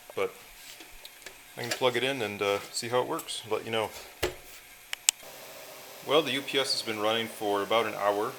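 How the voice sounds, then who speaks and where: Amid noticeable background noise, a man talks at medium pitch and a moderate pace, with fairly even intonation and long, frequent pauses. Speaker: electronics hobbyist. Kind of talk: casual talk to camera. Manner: hesitant, many fillers.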